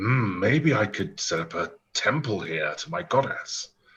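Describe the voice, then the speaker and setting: A man doing a put-on character voice at medium pitch speaks fairly slowly with very wide pitch swings. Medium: actual play. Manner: polite, earnest.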